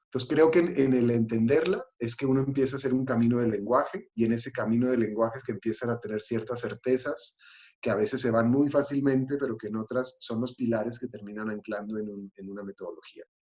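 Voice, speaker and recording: A man rattles on at a very fast pace with hardly any pauses, his dark, mellow tone at a medium pitch with ordinary pitch variation. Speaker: actor and playwright. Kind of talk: panel discussion. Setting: livestream. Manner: halting.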